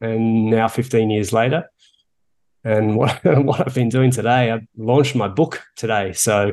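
At a fairly slow pace, a man with an Australian accent speaks in a medium pitch with ordinary pitch variation. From Australia, Melbourne. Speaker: author and coach. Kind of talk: interview.

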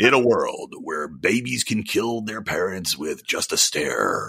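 A man delivers a put-on character voice at a fairly slow pace. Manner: dramatic trailer narration.

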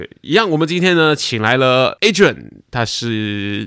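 A man's medium-pitched, normal speaking voice at a moderate pace, with lively intonation. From Malaysia. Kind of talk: casual chat.

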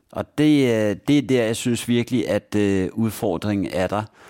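A man with a fairly low voice talks at a fairly slow pace, his pitch rising and falling in an ordinary way, on a very clean recording with a silent background. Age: 40s. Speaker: blind job consultant. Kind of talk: interview. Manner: halting, many fillers.

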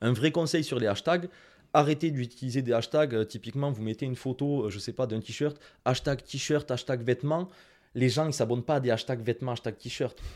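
A man with a strong Toulouse accent talks at a fairly quick pace on a very clean recording with a silent background. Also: medium pitch for a man, ordinary pitch variation. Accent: southern French (Toulouse), strong. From France, Toulouse. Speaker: Instagram marketing consultant and trainer. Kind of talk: interview. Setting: video studio.

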